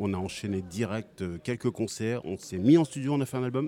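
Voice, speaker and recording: With a dark, mellow tone, a man speaks at a fairly low pitch. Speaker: band member. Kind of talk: casual interview chat. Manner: relaxed, chuckling.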